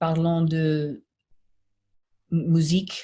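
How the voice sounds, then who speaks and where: Her voice is fairly low, dark and mellow. This woman also sounds somewhat breathy. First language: French. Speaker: singer and performer. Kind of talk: casual chat. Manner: halting.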